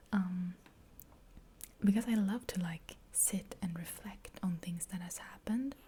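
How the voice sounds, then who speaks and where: Soft-spoken and somewhat breathy, a woman talks at a very slow pace in a medium-pitched voice with a dark, mellow tone and fairly even intonation. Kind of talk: ASMR soft-spoken question answering.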